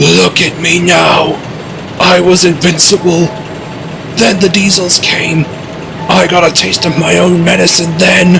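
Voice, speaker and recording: Putting on a character voice, a man speaks in a high pitch at a fairly slow pace against loud background noise. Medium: machinima. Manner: wheezing, weary.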